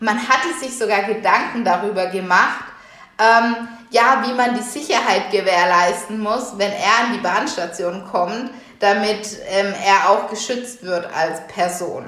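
Amid noticeable background noise and audible room echo, a woman talks at a very slow pace in a medium pitch with ordinary pitch variation. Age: 30s. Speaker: podcast host and workshop trainer. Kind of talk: solo podcast monologue.

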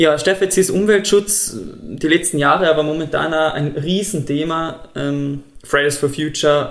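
A man with a Tyrolean accent, fairly high-pitched, speaking at a moderate pace with fairly even intonation. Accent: Tyrolean Austrian German. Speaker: podcast host. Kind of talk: interview.

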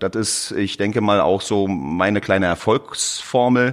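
On a very clean recording with a silent background, a man speaks very slowly in a fairly low pitch with ordinary pitch variation. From Berlin, Germany. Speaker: plumber and heating installer. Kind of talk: interview. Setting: studio.

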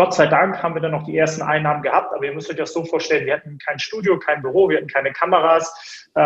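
Words rush out very fast with a monotone, flat intonation. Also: man, high pitch for a man. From Hamburg, northern Germany. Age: 30s. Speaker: media entrepreneur. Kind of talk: interview. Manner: many filler sounds (äh, ähm).

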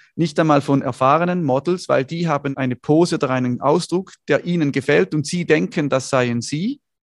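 Using an ordinary speaking voice, a man talks at a fairly quick pace with a fairly high pitch and ordinary pitch variation, the sound dry and close with no echo. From northern Switzerland, Schaffhausen. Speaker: photographer and entrepreneur. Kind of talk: interview conversation.

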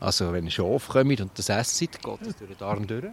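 This man's voice swings very widely in pitch. The sound is dry and close, with no echo. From Switzerland, Lucerne hinterland. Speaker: botanist podcast co-host. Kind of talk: casual educational chat. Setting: outdoors in a garden.

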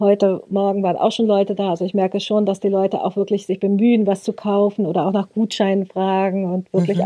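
A woman with a dark, mellow tone speaks at medium pitch and a fairly quick pace. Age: 50s. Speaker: craft goods trader. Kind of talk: interview.

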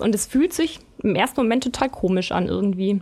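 A woman at a moderate pace. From Bavaria, Germany. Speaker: magazine editor. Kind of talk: casual chat. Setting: studio.

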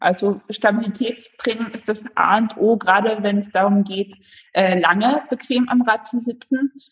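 Her voice somewhat breathy, a woman talks at a fairly slow pace with fairly even intonation. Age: 20s. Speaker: amateur road cyclist. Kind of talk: interview.

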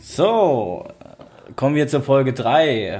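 With ordinary pitch variation, a man's voice has a dark, mellow tone. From Worms, Rhineland-Palatinate, Germany. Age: 30s. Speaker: podcast host. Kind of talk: casual chat.

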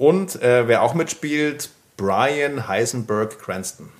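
A man's voice with lively intonation. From Bavaria, Germany. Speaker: podcast co-host. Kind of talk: casual chat.

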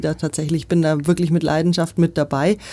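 The recording is very clean with a silent background, carrying a voice of dark, mellow tone. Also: woman. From Nuremberg, Franconia (Germany). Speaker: politician, mayoral candidate. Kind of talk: interview.

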